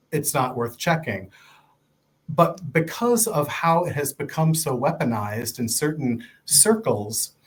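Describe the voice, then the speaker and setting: With an American accent, a man talks at a fairly slow pace. His voice is somewhat breathy and fairly high, with very wide pitch swings. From Ohio. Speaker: nonprofit fundraising director. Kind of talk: interview.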